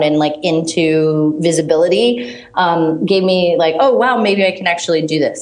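Lively intonation moves at a moderate pace over audible room echo and noticeable background noise. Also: woman. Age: 30s. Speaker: startup founder. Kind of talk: interview. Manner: halting, filler-heavy.

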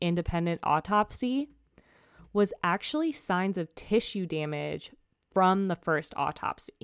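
"An ordinary speaking voice": a woman at a medium pitch and a moderate pace, with lively intonation. The recording is very clean with a silent background, dry and close with no echo. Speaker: true crime podcast host. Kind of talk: casual storytelling narration. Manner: casual, with fillers and laughter.

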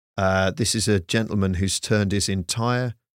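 In a dry, close recording with no echo, a man with an unremarkable speaking voice talks at a moderate pace and a fairly low pitch. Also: very clean recording, silent background. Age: 50s. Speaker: comedian. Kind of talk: casual chat.

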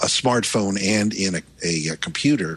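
Over a quiet background, a man speaks in an ordinary speaking voice with an American accent. His pace is fairly slow and his intonation lively. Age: 60s. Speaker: tech journalist. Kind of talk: panel discussion. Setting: remote call.

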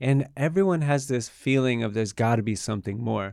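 In a very clean recording with a silent background, a man with a plain, everyday voice speaks at a moderate pace in a medium pitch with ordinary pitch variation. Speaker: tantra teacher. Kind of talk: casual interview chat.

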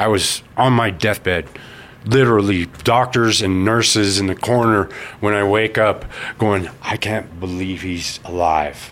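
With an ordinary speaking voice, a man talks in an American accent at a fairly slow pace, fairly low in pitch and fairly even in intonation. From Colorado Springs, US. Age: 40s. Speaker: person in addiction recovery. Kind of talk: interview testimony.

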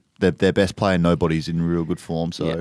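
Speaking at a fairly quick pace, a man with an Australian accent has a very deep voice. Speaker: podcast host. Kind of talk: casual banter, comedic chat. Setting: studio.

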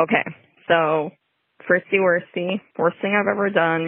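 Ordinary pitch variation marks an ordinary speaking voice with an American accent. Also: woman. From Chicago. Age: 30s. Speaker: listener caller. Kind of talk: recorded voicemail story.

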